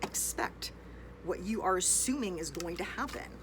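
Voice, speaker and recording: Fairly slow speech from a woman, noticeable background noise underneath. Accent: American. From United States. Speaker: English teacher. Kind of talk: casual online lesson. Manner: unscripted, rambling train of thought.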